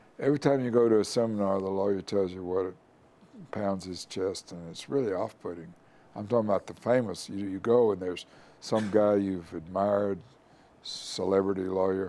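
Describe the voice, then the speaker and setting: Speaking at a fairly quick pace with a West Tennessee accent, a man uses a fairly low, dark, mellow voice with fairly even intonation and big swings in loudness. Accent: Southern US (West Tennessee). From US South. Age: 80s+. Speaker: retired lawyer. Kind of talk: oral history interview.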